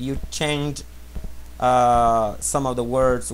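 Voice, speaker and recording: A man speaks with a Portuguese accent. There is audible room echo. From Brazil. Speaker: language teacher. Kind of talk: tutorial. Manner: halting.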